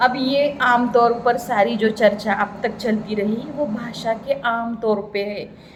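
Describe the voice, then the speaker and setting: Speaking with a Marathi accent, a woman is heard with audible room echo. Noticeable background noise runs underneath. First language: Marathi (speaking Hindi). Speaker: Hindi pedagogy lecturer. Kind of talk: lecture.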